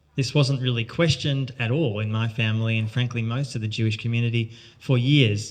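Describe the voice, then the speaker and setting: A man's somewhat breathy voice at a fairly quick pace. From Australia, Melbourne. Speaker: journalist and author. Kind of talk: talk to an audience.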